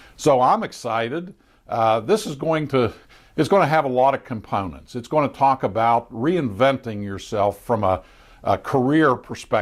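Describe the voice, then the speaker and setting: In a very clean recording with a silent background, a man at medium pitch speaks at a moderate pace with lively intonation. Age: 60s. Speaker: retired elected official. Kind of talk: casual monologue presentation. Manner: hesitant, many fillers.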